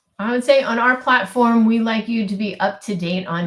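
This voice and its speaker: Over noticeable background noise, a woman with an American accent speaks at a fairly slow pace with ordinary pitch variation. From US West Coast, California Bay Area. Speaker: physician. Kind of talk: live webinar Q&A answers.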